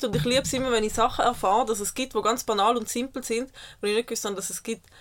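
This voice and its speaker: A woman with a fairly high voice talks at a very fast pace with fairly even intonation. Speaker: podcast co-host. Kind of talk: casual chat. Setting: caravan studio.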